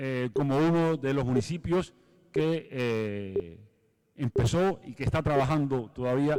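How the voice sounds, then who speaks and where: A man talks with a dark, mellow tone at a medium pitch. His pitch varies in an ordinary way. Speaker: municipal sports official. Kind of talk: conference talk. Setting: stage with audience.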